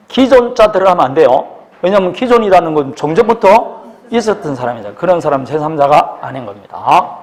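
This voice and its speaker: A man speaks in a high voice with very wide pitch swings over noticeable background noise. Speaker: law exam lecturer. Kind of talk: lecture. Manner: fast; animated.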